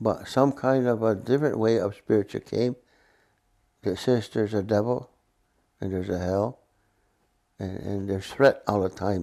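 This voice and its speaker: A man speaks in a dark, mellow voice of medium pitch. His pace is moderate and his intonation fairly even. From Mohawk community, northeastern North America. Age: 80s+. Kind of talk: casual conversation.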